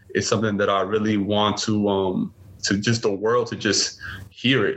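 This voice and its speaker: A man speaks at a fairly low pitch with a New York accent. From Brooklyn, New York City. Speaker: father and masculinity podcaster. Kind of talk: interview conversation.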